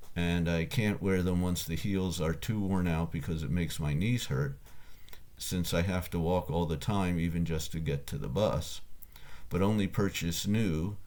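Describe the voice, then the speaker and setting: In a room with audible echo, a man with a very deep, low pitch talks at a moderate pace. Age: 60s. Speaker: ascetic philosopher and tutor. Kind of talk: reading aloud. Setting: home room, computer recording. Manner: halting.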